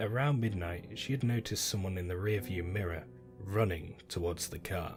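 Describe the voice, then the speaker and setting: Music plays in the background as a man talks at a fairly low pitch with ordinary pitch variation. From British. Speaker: narrator. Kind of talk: horror story narration.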